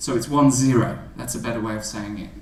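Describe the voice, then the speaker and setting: A man is speaking amid noticeable background noise. Audible room echo surrounds his voice. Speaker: maths teacher giving a talk to teachers. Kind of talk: presentation to teachers. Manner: halting, many fillers.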